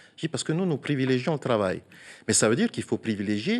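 This is a man talking. His pitch swings very widely up and down. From French Polynesia. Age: 40s. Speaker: senator. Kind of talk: TV interview. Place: studio. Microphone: lapel.

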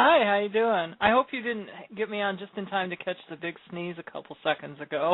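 Heard as an ordinary speaking voice, the speech moves at a fairly quick pace with ordinary pitch variation and big swings in loudness, the sound dry with no echo. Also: woman, medium pitch for a woman. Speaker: co-host. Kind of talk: casual chat. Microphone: phone line.

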